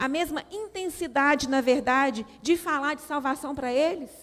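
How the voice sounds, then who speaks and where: A woman speaks with a Minas Gerais accent and ordinary pitch variation. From Brazil, Minas Gerais. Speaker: women's ministry speaker. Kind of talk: sermon. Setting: church.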